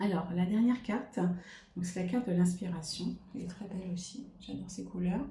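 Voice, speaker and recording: A woman speaks at a fairly quick pace in a medium pitch, with ordinary pitch variation and audible room echo. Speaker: tarot card reader. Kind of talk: card reading monologue. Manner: hesitant, many fillers.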